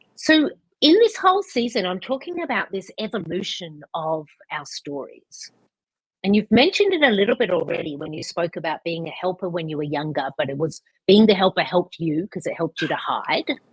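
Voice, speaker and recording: A woman speaks at a medium pitch and fairly quick pace, with very wide pitch swings and big shifts in loudness. Her voice is somewhat breathy, and the sound is dry and close with no echo. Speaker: podcast host. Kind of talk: interview question. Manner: casual, conversational.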